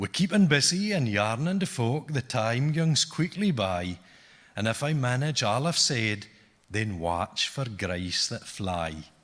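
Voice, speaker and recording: In a very clean recording with a silent background, a man speaks in an Orcadian accent. His medium-pitched voice moves at a fairly slow pace with very wide pitch swings. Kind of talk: poetry reading in dialect.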